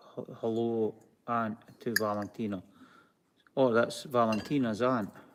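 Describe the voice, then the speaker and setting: A man with a Scottish accent, medium pitch, fairly even intonation and fairly slow pace, on a very clean recording with a silent background. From Scotland. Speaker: craft video co-host. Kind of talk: live-stream craft tutorial. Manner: halting, many fillers.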